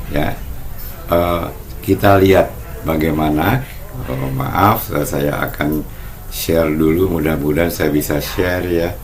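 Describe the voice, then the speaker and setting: Noticeable background noise and audible room echo surround a man speaking at a very deep, low pitch. He goes at a fairly slow pace with long, frequent pauses. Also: ordinary pitch variation. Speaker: market review presenter. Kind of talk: online market review presentation. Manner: halting with fillers.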